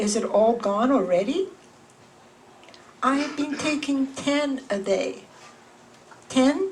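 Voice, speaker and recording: With lively intonation and a high pitch, a woman speaks at a fairly slow pace against noticeable background noise. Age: 70s. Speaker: memoir author. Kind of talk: reading aloud. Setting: bookstore with live audience.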